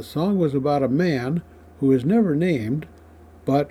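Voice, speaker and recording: A man speaks at a moderate pace with lively intonation. He has an ordinary speaking voice. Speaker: radio host. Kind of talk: scripted narration.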